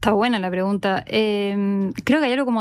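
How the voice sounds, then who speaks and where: A woman at medium pitch, with a fairly quick pace and fairly even intonation. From Chile. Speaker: author. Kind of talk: panel talk. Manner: fast.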